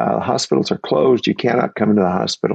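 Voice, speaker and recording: Vocal fry marks a man's voice as he speaks at a fairly quick pace with very wide pitch swings, in a dry, close sound with no echo. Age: 70s. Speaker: retired minister and cancer patient. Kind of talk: personal testimony. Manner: halting, with frequent fillers.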